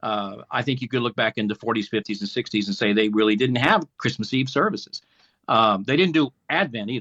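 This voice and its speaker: A man talks at a fairly quick pace in a normal speaking voice. His medium pitch shows ordinary variation. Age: 60s. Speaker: pastor. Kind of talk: casual chat.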